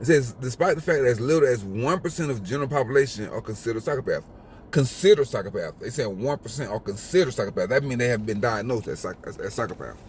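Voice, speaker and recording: The voice has an American accent and is somewhat breathy. Its tone is animated, with lively intonation. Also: man, medium pitch for a man. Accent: country drawl, slight. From US South. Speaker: YouTuber. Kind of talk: casual vlog commentary. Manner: halting, repeats words.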